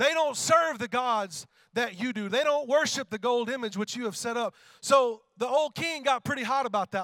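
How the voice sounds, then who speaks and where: Extremely high-pitched for a man, his voice has a bright, sharp tone and an animated delivery. The sound is dry and close, with no echo. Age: 30s. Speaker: worship pastor. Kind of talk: sermon.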